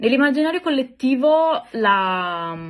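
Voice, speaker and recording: The intonation is lively while the pace stays very slow. The background is quiet. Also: woman. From Italy. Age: 30s. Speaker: podcaster sharing personal experience. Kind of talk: personal testimony monologue. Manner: hesitant, many filler sounds.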